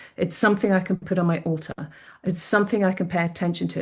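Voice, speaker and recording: A woman rushes along at a very fast pace with fairly even intonation. Her voice is fairly low and somewhat breathy. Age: 60s. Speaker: psychic medium. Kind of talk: interview.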